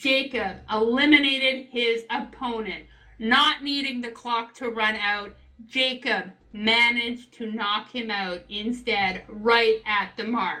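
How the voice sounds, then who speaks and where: At a very slow pace, a woman speaks with a fairly high pitch. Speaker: live event commentator. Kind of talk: live commentary. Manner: animated; loud.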